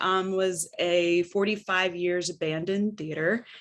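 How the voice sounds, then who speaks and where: An American accent, very slow in pace, bright and sharp in tone, with fairly even intonation. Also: woman. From Northern California. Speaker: arts center developer and entrepreneur. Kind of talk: panel discussion.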